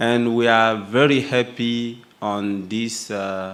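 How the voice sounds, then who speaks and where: With a French accent, a man speaks with ordinary pitch variation amid audible room echo. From Burkina Faso. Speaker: youth union representative. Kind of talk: speech at opening ceremony. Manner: halting.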